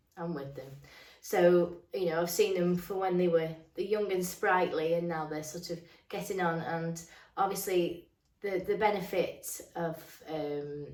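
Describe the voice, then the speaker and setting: Audible room echo surrounds a woman's fairly low voice as she speaks at a fairly slow pace with fairly even intonation. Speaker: dog groomer. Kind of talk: casual chat. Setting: home grooming salon. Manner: hesitant, lots of ums.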